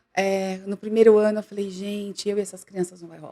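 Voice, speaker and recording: Speaking at a moderate pace, a woman keeps a medium pitch. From Brazil, São Paulo city (East Zone, Tatuapé). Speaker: recruitment firm director, HR specialist. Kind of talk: podcast interview, casual chat.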